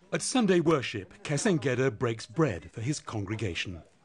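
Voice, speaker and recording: He talks in a normal speaking voice with lively intonation. The man keeps a moderate pace. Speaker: documentary narrator. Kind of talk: documentary narration.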